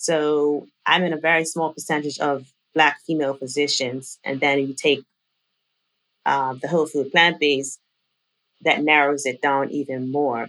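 A woman speaks with a very deep, low pitch in a monotone, flat intonation. Her pace is fairly slow, broken by long, frequent pauses. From Bermuda. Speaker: physician. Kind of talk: interview.

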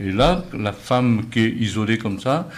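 Speaking at a very slow pace, a man uses a fairly low pitch with ordinary pitch variation against noticeable background noise. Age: old. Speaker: retired postman. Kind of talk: radio panel discussion.

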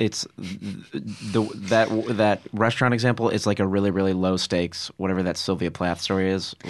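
A man with a fairly low pitch speaks at a moderate pace in a normal speaking voice. His intonation is fairly even, his loudness very even, and the background quiet. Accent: American. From Connecticut, Fairfield. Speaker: comedian. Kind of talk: casual chat.

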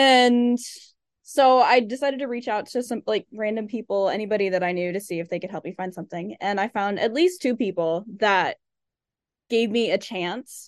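An unremarkable speaking voice from a woman, fairly high in pitch, with lively intonation at a moderate pace against a quiet background. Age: 20s. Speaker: podcast co-host. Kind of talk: casual interview chat.

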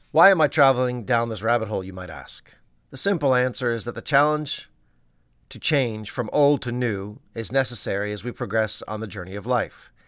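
A man with a plain, everyday voice at a medium pitch, ordinary pitch variation and a fairly quick pace, on a very clean recording with a silent background. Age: 50s. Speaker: pediatrician and podcast host. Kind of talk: scripted narration.

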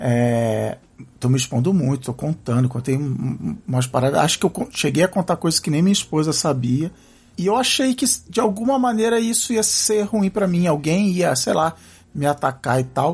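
Making very wide pitch swings at very even loudness, a man speaks at a fairly high pitch. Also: moderate pace. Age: 40s. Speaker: podcaster. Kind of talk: casual chat. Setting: coworking office. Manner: halting.

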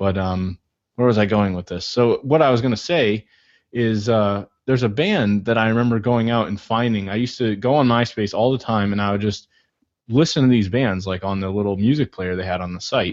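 A man with a plain, everyday voice talks at a fairly quick pace and a fairly low pitch, with ordinary pitch variation, against a quiet background. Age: 20s. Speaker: podcast host. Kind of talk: interview conversation.

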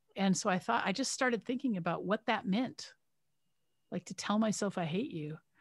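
Somewhat breathy, a woman speaks at a medium pitch and moderate pace with lively intonation, in a very clean recording with a silent background. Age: 50s. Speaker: retired surgeon and menopause expert. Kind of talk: interview. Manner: repetitive restarts.

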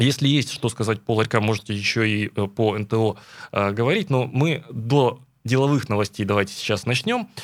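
On a very clean recording with a silent background, a man talks at a moderate pace and a medium pitch, with ordinary pitch variation and an ordinary speaking voice. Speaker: radio host. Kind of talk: morning radio talk show. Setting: studio.

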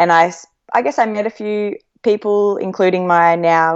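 The speaker has an Australian accent and fairly even intonation. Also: woman. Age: 30s. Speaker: professional runner. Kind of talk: casual interview chat. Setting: remote call.

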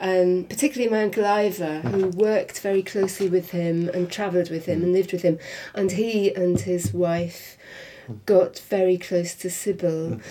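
A woman speaks with a Welsh accent. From Wales, Swansea area. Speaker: niece of a film star. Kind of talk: interview.

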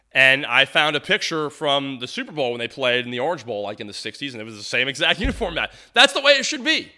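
Against a quiet background, a man with an American accent talks at a very fast pace with hardly any pauses in a fairly high voice, his animated tone bright and sharp and his intonation lively. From Tampa, Florida. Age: 40s. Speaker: sports podcast host. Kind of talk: solo sports podcast monologue.

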